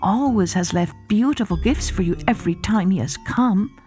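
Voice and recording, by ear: Someone is reading aloud in a natural voice. The words come out naturally.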